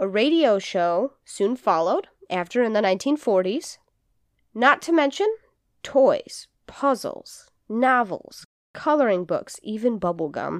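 Speaking at a fairly slow pace, a woman uses a fairly high pitch with very wide pitch swings. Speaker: podcast co-host. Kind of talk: casual chat with storytelling segment. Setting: studio, in person with co-host.

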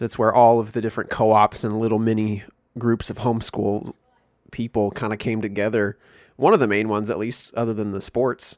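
A man's fairly low voice in an American accent, fairly quick and monotone, flat in intonation, on a very clean recording with a silent background. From US Midwest, Missouri. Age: 20s. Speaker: podcast co-host, musician. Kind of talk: casual chat. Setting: virtual call.

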